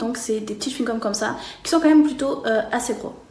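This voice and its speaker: Here a woman speaks in a high pitch. Audible room echo and noticeable background noise accompany her. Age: 30s. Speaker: customer giving product review. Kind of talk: testimonial product review. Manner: hesitant, many fillers.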